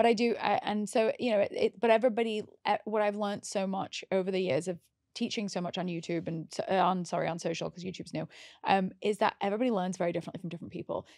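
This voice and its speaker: Against a quiet background, a woman with a British accent talks very fast at a medium pitch with ordinary pitch variation. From England. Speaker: makeup artist. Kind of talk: casual chat.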